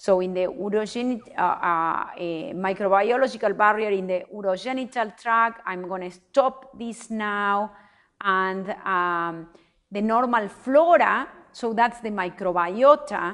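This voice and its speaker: In a plain, everyday voice, a woman speaks at a medium pitch and fairly slow pace with ordinary pitch variation against a quiet background. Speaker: professor. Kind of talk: lecture.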